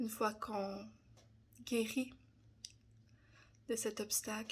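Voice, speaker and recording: A woman's fairly high, monotone voice with flat intonation at a very slow pace. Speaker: personal development content creator. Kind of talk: personal testimony. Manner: hesitant, many fillers.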